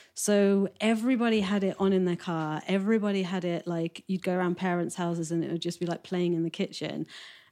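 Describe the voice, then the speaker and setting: At a fairly quick pace with hardly any pauses, a woman speaks in a dark, mellow tone at a fairly low pitch with fairly even intonation, on a very clean recording with a silent background. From West Midlands, England. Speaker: record label owner. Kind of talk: casual interview chat. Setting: at home.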